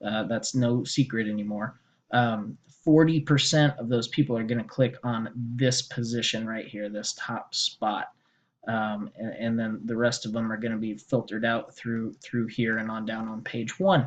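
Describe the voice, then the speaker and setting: A man with an unremarkable speaking voice talks at a medium pitch and a moderate pace. His pitch varies in an ordinary way while his loudness swings widely. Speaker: SEO consultant pitching a small business. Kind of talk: sales pitch screen-share walkthrough. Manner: casual with many fillers.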